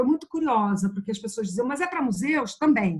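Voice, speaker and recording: A woman's high voice rises and falls with lively intonation. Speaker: museum project co-founder. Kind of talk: panel discussion.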